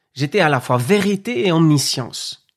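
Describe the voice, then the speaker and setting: A man's fairly high voice at a very slow pace, with lively intonation, on a very clean recording with a silent background. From Spanish Basque Country. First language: Spanish (speaking French). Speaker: podcast host and entrepreneur. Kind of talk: personal testimony.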